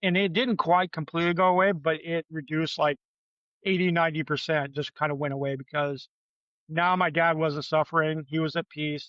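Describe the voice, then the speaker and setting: A man uses a plain, everyday voice with an American accent. His pitch is fairly high, his pace fairly quick, his intonation fairly even. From Michigan. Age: 50s. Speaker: podcast guest. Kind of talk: casual chat.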